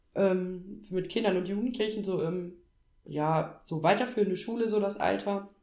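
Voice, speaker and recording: With audible room echo, a woman at a medium pitch speaks at a moderate pace in a dark, mellow tone with fairly even intonation. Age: 30s. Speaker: trained teacher on parental leave. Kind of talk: casual chat.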